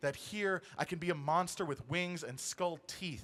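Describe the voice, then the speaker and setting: Bright, sharp tone at a moderate pace, with fairly even intonation. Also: man. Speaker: spoken word poet. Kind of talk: spoken word poetry performance. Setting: live stage show.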